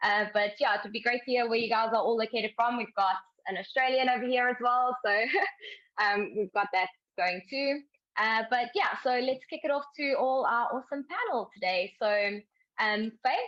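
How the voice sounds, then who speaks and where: With a South African accent, a woman speaks at a moderate pace in a high pitch with ordinary pitch variation. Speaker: webinar host. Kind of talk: webinar panel discussion.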